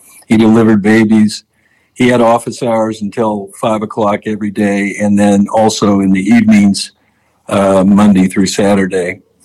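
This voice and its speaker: Monotone and flat, a man's dark, mellow voice comes at a fairly low pitch and a moderate pace, in an American accent. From US Midwest, southern Illinois. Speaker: gynecologic oncologist. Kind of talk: interview.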